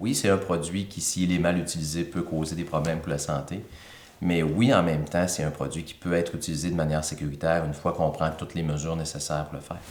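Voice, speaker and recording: In a room with audible echo, a man with a very deep, low pitch talks very fast in a fairly even intonation. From Quebec, Thetford Mines. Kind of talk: interview.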